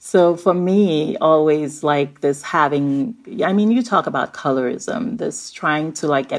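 The intonation is lively. Vocal fry runs through the voice. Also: woman. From Nigeria. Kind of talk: interview conversation.

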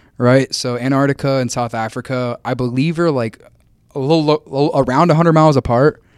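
In a very clean recording with a silent background, a man with an American accent and an ordinary speaking voice talks at a fairly quick pace with fairly even intonation. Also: medium pitch for a man, dry, close sound with no echo. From Kansas, US Midwest. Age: 20s. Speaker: podcast guest, content creator and student. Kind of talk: casual chat.

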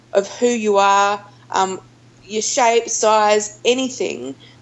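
Her pace is very slow, in an Australian accent. The woman's pitch is medium, with ordinary variation. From Australia, Melbourne. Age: 30s. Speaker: outdoor adventure group founder. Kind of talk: interview conversation.

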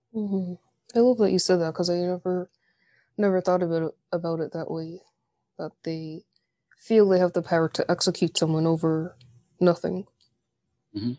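A woman with an American accent speaks in a dark, mellow tone at fairly low pitch, with ordinary pitch variation and long, frequent pauses. The sound is dry and close with no echo, and the background is quiet. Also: moderate pace. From United States. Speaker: podcast host. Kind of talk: interview.

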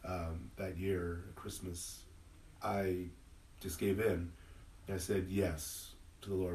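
The voice is somewhat breathy, with audible room echo. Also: man. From Southern California, Inland Empire. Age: 50s. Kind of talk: casual interview conversation. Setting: parish, in-person with small audience.

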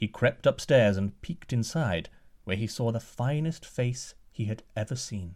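Lively intonation in a natural reading voice.

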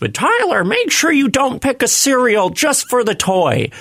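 A man uses a put-on character voice at an extremely high pitch. His intonation is lively and his pace moderate. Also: very even loudness. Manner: cautioning, motherly.

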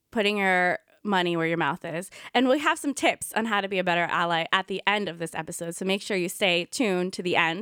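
On a very clean recording with a silent background and a dry, close sound with no echo, a woman speaks at a fairly quick pace in an American accent, using a bright, sharp tone at medium pitch with ordinary pitch variation. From US, Indian American. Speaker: podcast co-host, yoga teacher. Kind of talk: casual conversational podcast.

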